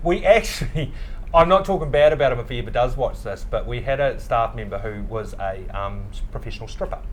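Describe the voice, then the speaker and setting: Audible room echo surrounds a man whose loudness swings widely. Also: fairly quick pace. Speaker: bar founder and CEO. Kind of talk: casual chat. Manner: fast, loud; animated.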